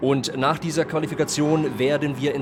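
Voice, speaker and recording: Against noticeable background noise, a man with a German accent speaks at a moderate pace in a fairly high pitch. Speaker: sim racing commentator. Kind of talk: live commentary. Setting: live stream. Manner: halting in English, searching for words.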